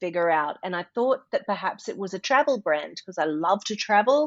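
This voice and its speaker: A woman at a medium pitch speaks with lively intonation. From Australia, North Queensland. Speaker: motivational speaker and voice artist. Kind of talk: interview conversation.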